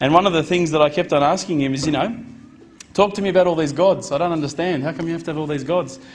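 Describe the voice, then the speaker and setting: A man in an Australian accent, fairly high-pitched, very fast, with fairly even intonation. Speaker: convert giving a talk. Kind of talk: personal testimony talk to an audience. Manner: casual, conversational with fillers.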